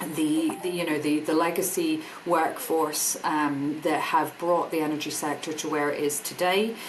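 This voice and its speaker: Moderate pace and ordinary pitch variation, with audible room echo and noticeable background noise. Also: woman. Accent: Scottish. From Scotland. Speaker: energy industry business director. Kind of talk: podcast interview.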